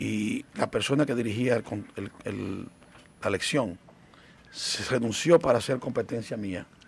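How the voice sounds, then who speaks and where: A man speaks at a very slow pace with ordinary pitch variation, the sound dry with no echo. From Dominican Republic, Santiago. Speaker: physician and foundation president. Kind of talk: interview. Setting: studio. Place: studio. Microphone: studio mic.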